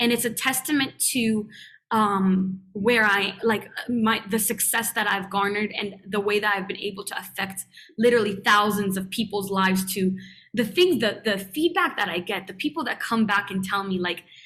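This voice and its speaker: A woman with a non-native accent speaks at a moderate pace and medium pitch. Her tone is bright and sharp, with ordinary pitch variation. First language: not English. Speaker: youtuber and spiritual guide. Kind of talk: podcast interview.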